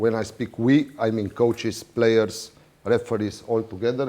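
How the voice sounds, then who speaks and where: Speaking with a non-native accent, a man keeps a moderate pace, a medium pitch, and a dark, mellow tone. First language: not English. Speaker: water polo referee official. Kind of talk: lecture. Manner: halting.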